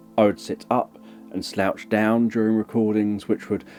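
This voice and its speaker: A man with a fairly low voice talks at a moderate pace while noticeable background noise carries on behind him. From countryside. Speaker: hypnotherapist and ASMR creator. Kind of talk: educational talk. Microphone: mono microphone.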